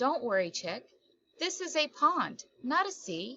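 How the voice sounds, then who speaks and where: In a put-on character voice, a female-sounding speaker talks at a high pitch with very wide pitch swings. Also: fairly slow pace. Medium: read story. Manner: calm, matter-of-fact.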